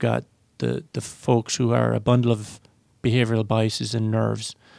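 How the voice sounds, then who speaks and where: A man speaks with an Irish accent at a medium pitch. His intonation is flat and monotone. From Ireland. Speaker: chief investment officer. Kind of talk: radio panel discussion.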